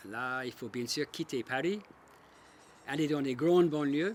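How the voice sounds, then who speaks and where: A fairly high-pitched man's voice with ordinary pitch variation. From Australia. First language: English (speaking French). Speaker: local resident. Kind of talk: personal testimony.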